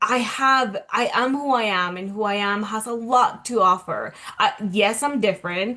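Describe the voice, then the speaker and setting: Speaking in a Spanish accent, a woman uses a fairly high pitch. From Colombia. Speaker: self-love coach. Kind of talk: interview, personal story.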